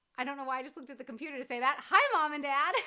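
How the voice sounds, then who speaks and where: A woman's raised, projected voice, high in pitch, with an American accent. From US East Coast (New England and South Florida). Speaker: YouTuber. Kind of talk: casual chat. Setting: livestream from living room.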